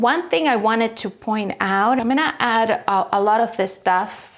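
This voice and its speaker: Over a silent background in a very clean recording, a woman with a plain, everyday voice speaks at a fairly slow pace with ordinary pitch variation. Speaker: furniture painter and DIY creator. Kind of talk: casual DIY tutorial talk.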